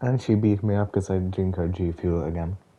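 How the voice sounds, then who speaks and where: Dark and mellow in tone, a man's very deep, low voice moves at a moderate pace with fairly even intonation. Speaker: gamer. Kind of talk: gameplay commentary. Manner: casual.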